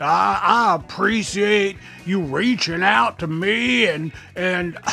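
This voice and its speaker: With music in the background, a man speaks very slowly at a high pitch. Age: old. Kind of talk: casual talk to camera, reconciliation chat. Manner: earnest, conciliatory, grateful.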